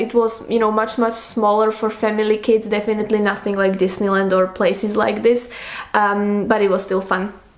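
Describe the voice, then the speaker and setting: At a moderate pace, a woman with a non-native accent speaks over noticeable background noise. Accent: foreign. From Slovakia. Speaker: book youtuber. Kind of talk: casual monologue, Q&A tag video.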